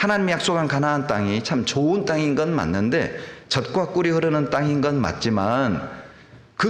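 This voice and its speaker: Lively intonation moves at a moderate pace over noticeable background noise and audible room echo. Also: man. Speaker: pastor. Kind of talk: sermon.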